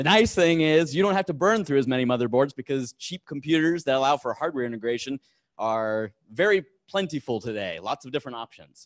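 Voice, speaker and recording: Over a quiet background, a man talks with lively intonation. He has an American accent. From United States. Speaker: engineer giving a tech talk; conference speaker. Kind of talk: conference talk. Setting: stage with audience. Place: hall.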